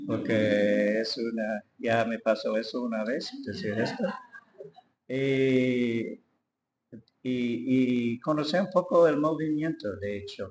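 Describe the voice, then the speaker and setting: Lively intonation marks a man's medium-pitched voice with an English accent. He talks at a very slow pace. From US, Detroit. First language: English (speaking Spanish). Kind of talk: testimony. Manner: halting.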